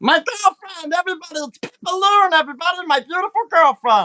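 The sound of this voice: Squeaky and extremely high-pitched, a put-on character voice rattles along at a fairly quick pace.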